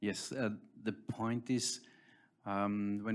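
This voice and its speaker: With a German accent and medium pitch, a man speaks with fairly even intonation in a very clean recording with a silent background. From Austria. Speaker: tech company founder. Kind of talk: panel discussion.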